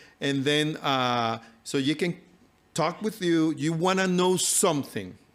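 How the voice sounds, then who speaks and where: The loudness stays very even throughout. The speaker has a non-native accent and talks at a fairly slow pace. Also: man, fairly high pitch for a man, ordinary pitch variation, very clean recording, silent background. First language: not English. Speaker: health and nutrition speaker. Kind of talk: live talk to audience. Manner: halting, many fillers.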